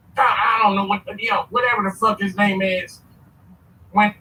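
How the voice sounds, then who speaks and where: The voice is raised and projected, with a bright, sharp tone. Its intonation stays fairly even. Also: man. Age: 60s. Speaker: caller on a live stream. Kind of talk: casual chat.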